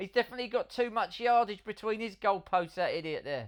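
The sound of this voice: At a fairly quick pace, the delivery keeps a lively intonation.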